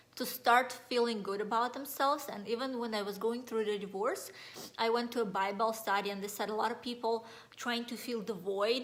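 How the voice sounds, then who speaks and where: A woman with a Russian accent talks at a fairly quick pace and a fairly high pitch. Her intonation stays fairly even, with audible room echo around her. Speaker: life coach. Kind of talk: motivational talk. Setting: Facebook live video.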